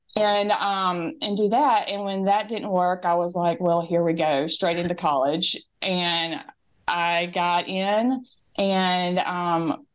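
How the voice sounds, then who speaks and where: A very slow delivery in a strong Southern US accent, with ordinary pitch variation. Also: woman, medium pitch for a woman. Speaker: interview guest, former student mom. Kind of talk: interview storytelling. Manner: hesitant with fillers.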